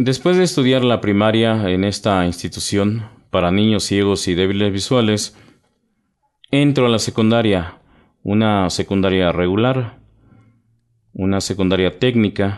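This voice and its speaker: A man talks at a fairly slow pace, with long, frequent pauses and very even loudness. His pitch is fairly low, with ordinary variation. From Mexico, Sierra Norte de Puebla (Nahua community near Cuetzalan), raised in Mexico City. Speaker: poet and writer. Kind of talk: radio interview. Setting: studio.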